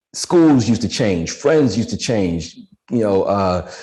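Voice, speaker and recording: Speaking fairly slowly with an American accent, a man uses a dark, mellow tone at medium pitch, his pitch swinging very widely. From Washington DC. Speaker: fitness trainer, former music executive. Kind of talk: interview.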